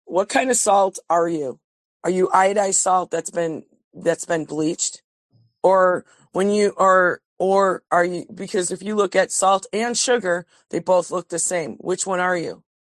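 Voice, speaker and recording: A woman with a normal speaking voice talks at a medium pitch and a fairly slow pace, with fairly even intonation. The sound is dry and close with no echo, over a quiet background. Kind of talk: casual group discussion.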